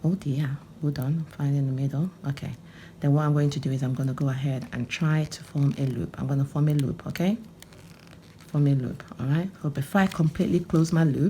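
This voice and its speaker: A woman talks at a fairly quick pace with a very deep, low pitch and ordinary pitch variation. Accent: Nigerian. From Nigeria (Onitsha, Anambra). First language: Igbo. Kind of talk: tutorial. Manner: animated.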